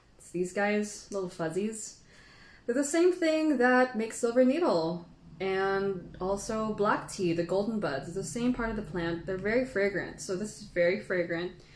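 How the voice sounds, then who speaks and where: Amid noticeable background noise and audible room echo, a woman talks at a moderate pace and medium pitch with lively intonation and big swings in loudness. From Philippines. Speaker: tea educator. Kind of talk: live stream tea tasting tutorial. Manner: casual, chatty.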